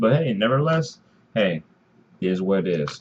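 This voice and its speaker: A man is speaking. His voice is quiet. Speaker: gaming YouTuber. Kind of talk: unboxing video commentary. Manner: rambling, disorganized delivery; quiet, low volume.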